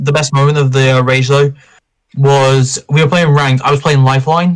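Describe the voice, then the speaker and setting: The man's fairly high, somewhat breathy voice stays monotone and flat at a moderate pace, with very even loudness. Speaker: gaming podcast host. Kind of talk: casual chat.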